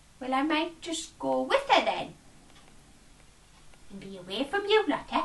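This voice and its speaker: A woman puts on a high-pitched character voice, leaving long, frequent pauses. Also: moderate pace. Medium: read story. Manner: rambling, complaining.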